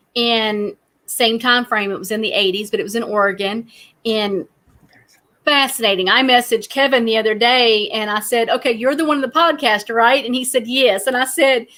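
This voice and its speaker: A woman with a strong Southern US accent speaks in a bright, sharp tone. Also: fairly high pitch for a woman, ordinary pitch variation, moderate pace. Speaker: true crime podcast host. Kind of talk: casual chat.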